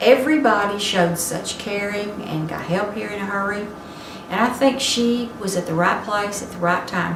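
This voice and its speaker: Against noticeable background noise and audible room echo, a woman speaks at a moderate pace with ordinary pitch variation. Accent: Texan. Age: 70s. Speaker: senior center member. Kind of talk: testimony.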